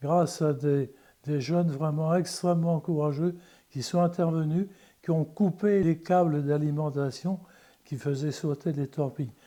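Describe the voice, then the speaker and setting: This man's voice has a dark, mellow tone and a fairly high pitch. The recording is very clean, with a silent background. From France, Le Mans. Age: 80s+. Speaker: eyewitness of wartime liberation. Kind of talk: testimony. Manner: halting, with repetitions.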